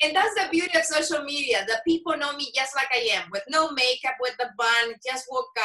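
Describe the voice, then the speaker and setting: The voice is raised and projected, with lively intonation. Its pace is moderate. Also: woman. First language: Spanish. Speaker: former TV journalist, podcast host, event emcee. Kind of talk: interview chat.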